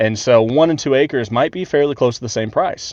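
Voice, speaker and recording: Speaking with an American accent, a man keeps a medium pitch and ordinary pitch variation at a fairly quick pace. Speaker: land clearing contractor. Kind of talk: on-site tutorial vlog. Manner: fast; casual, filler-heavy.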